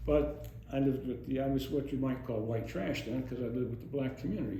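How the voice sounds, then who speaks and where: Over noticeable background noise and audible room echo, a man with an American accent talks at a very fast pace. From US Northeast, Monroe County, Pennsylvania. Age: 80s+. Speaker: oral history interviewee, retired police officer. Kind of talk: oral history interview. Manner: conversational, rambling with false starts.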